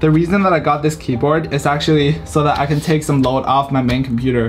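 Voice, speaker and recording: Over faint music in the background, a man talks at a fairly quick pace with fairly even intonation. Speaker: student vlogger. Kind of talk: casual vlog chat. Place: home room.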